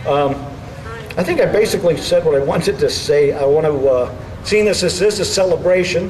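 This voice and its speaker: A man speaks at a fairly quick pace in a fairly high voice with ordinary pitch variation, over noticeable background noise. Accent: Bronx. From New York City (the Bronx). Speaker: political speaker. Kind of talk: rally speech.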